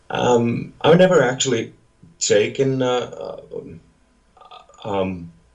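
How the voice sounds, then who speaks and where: In a room with audible echo, a man speaks at a very slow pace, leaving long, frequent pauses. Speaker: metal musician. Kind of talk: interview. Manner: halting, many fillers.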